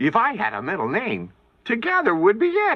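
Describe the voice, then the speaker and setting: A man puts on a cartoonish character voice pitched high. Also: moderate pace. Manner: playful, giggly.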